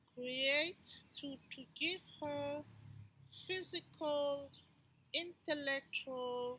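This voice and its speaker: A woman raises and projects her voice at a high pitch with a bright, sharp tone. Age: 60s. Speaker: educator and movement therapist. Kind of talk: personal pitch presentation.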